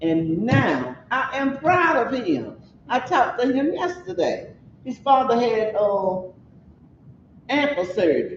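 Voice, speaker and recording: The speech is very slow, with long, frequent pauses. The pitch swings very widely, and there is audible room echo. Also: woman, high pitch for a woman. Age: 80s+. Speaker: community member speaking at a forum. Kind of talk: community meeting discussion.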